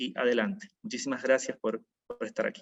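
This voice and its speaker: A man speaks at a moderate pace in a fairly high voice. His pitch swings very widely. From Argentina, Rosario (Santa Fe). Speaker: event moderator, chaplain. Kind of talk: formal introduction of a speaker.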